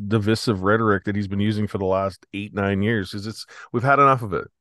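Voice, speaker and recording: A man speaks with a Canadian prairie accent at a fairly low pitch. The background is quiet. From Saskatchewan, Canada. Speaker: protest organizer. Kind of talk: casual interview. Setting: home, remote call.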